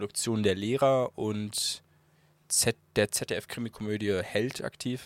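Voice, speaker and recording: There is no echo, just a dry, close sound. Intonation holds fairly even throughout. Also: man. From Bremen. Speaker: videographer. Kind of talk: casual chat.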